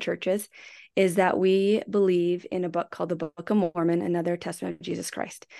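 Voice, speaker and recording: Over a quiet background, a woman of medium pitch talks at a fairly quick pace in a monotone, flat intonation. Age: 40s. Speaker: podcast co-host. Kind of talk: casual chat.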